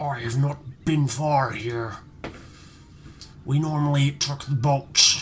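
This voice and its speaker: Putting on a character voice, a man talks at a fairly slow pace and fairly high pitch in a monotone, flat intonation, with long, frequent pauses and clear background noise. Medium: actual play. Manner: terse, practical.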